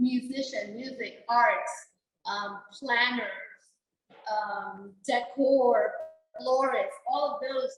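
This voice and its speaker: At a very slow pace with long, frequent pauses, a woman speaks loudly in a high voice with ordinary pitch variation. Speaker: venue owner, chamber member. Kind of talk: roundtable discussion.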